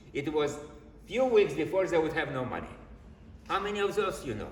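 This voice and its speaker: Animated male speech at a fairly quick pace, with audible room echo and noticeable background noise. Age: 70s. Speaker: mortgage broker. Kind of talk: presentation to real estate agents.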